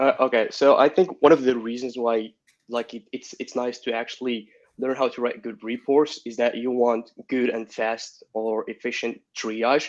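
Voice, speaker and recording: Speaking with a non-native accent at a moderate pace, the man has a medium pitch, a monotone, flat intonation and big swings in loudness. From Morocco. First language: not English. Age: 20s. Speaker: security consultant. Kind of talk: interview answer.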